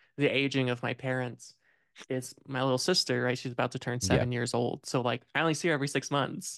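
In a US Midwestern accent, the speaker goes at a very fast pace with fairly even intonation, in a dry, close sound with no echo and a quiet background. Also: man, medium pitch for a man. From Indiana, US Midwest. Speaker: film podcast host. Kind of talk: casual chat.

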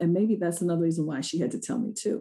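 A very fast, somewhat breathy woman's voice with a dark, mellow tone and an American accent. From Rochester, New York. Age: 50s. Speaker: money coach. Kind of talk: interview.

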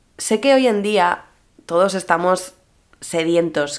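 At a very slow pace, a woman delivers her words. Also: very clean recording, silent background. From Mallorca, Spain. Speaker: social media influencer and podcaster. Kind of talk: solo podcast monologue. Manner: casual, chatty.

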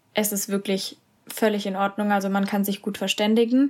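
A woman's medium-pitched, monotone, flat delivery at a moderate pace, in a very clean recording with a silent background. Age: 20s. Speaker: university student. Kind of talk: casual interview.

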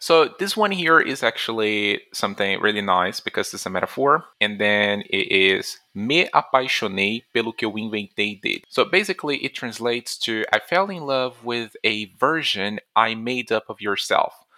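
On a very clean recording with a silent background and a dry, close sound with no echo, a man with a Portuguese accent speaks at a moderate pace with hardly any pauses, a medium pitch, lively intonation and a bright, sharp tone. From Brazil. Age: 20s. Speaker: language teacher. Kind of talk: language lesson.

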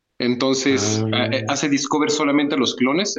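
A man talks at a moderate pace with a Mexican accent. His pitch is medium. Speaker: podcast co-host. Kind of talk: casual chat.

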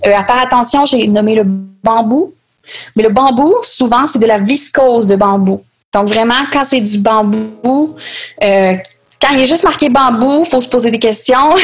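Speaking with a Quebec accent, a woman with a high pitch talks at a fairly slow pace with ordinary pitch variation, very even loudness, and long, frequent pauses. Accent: Québécois French. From Quebec City, Quebec. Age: 20s. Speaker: sustainable fashion designer and entrepreneur. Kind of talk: interview.

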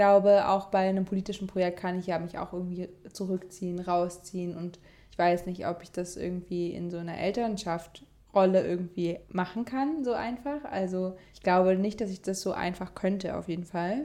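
Here is a woman with an ordinary speaking voice, medium in pitch, with ordinary pitch variation. She talks at a moderate pace, and her loudness swings widely. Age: 20s. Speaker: activist. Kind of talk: casual chat. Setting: in person at host's home.

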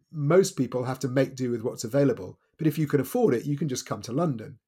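His voice sits fairly high yet carries a dark, mellow tone, and this man sounds somewhat breathy. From Wales. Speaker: author and journalist. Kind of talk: interview.

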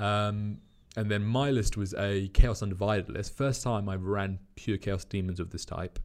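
A man with a British accent talks at a moderate pace in a fairly low pitch with fairly even intonation. The recording is very clean, with a silent background. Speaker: wargaming club community manager. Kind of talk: casual chat.

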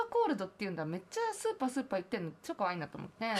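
A woman's voice with lively intonation. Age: 20s. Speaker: singer-songwriter. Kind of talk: casual chat.

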